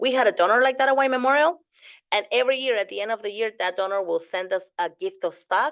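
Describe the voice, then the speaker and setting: Talking at a very fast pace with lively intonation, a woman with a fairly high pitch speaks in a Spanish accent. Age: 40s. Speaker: fundraising course instructor. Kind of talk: lecture. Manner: casual, with frequent fillers.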